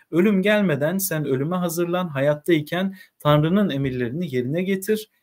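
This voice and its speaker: Against a quiet background, a man with a high pitch talks at a moderate pace with ordinary pitch variation. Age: 30s. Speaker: literature teacher; teacher reading. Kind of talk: reading aloud with commentary. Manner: hesitant, frequent filler sounds. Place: home room.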